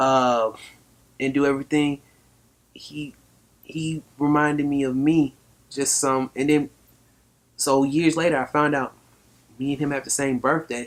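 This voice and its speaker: A man's fairly high, monotone, flat voice with an American accent, at a fairly slow pace with long, frequent pauses. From Atlanta, Georgia. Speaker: rapper. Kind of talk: interview.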